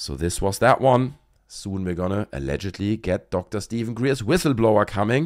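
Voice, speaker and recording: Fairly low male pitch with vocal fry, a fairly quick pace, and a very clean recording with a silent background. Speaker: YouTuber commentator. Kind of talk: video commentary.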